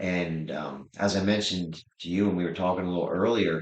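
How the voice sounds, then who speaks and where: Speaking at a fairly quick pace, a man talks with a Pennsylvania accent. His pitch variation is ordinary. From Pennsylvania, Lebanon County (Pennsylvania Dutch area). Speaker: rodeo clown and comedian. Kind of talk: interview. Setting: sit-down interview.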